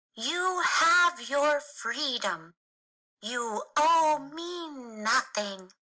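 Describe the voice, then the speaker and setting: A woman speaks in a put-on character voice, high-pitched for a woman. Her pace is very slow. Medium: read story.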